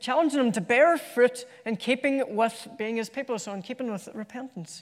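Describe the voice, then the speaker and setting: An Irish accent marks this man's extremely high-pitched voice, which moves at a moderate pace with ordinary pitch variation. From Ireland. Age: 30s. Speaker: preacher. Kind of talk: sermon. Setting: church.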